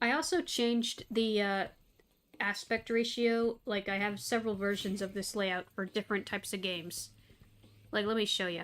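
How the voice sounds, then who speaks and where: A soft-spoken woman with an American accent talks over a silent background in a very clean recording. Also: medium pitch for a woman, ordinary pitch variation, moderate pace. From Tennessee, US South. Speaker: gaming streamer (VTuber). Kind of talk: casual live stream chat. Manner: halting, many fillers and restarts.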